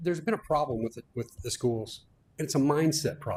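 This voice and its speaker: With an American accent, a man speaks at a fairly high pitch and ordinary pitch variation. His voice is somewhat breathy. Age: 70s. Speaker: electrical contractor speaking at public comment. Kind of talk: public comment at school board meeting. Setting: school board meeting. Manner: impassioned.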